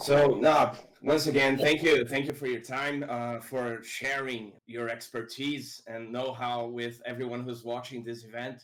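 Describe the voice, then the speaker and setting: A man with a Portuguese accent speaks at a fairly slow pace with hardly any pauses, his medium-pitched voice flat and monotone while its loudness swings widely. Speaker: interviewer. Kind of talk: interview. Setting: live online stream.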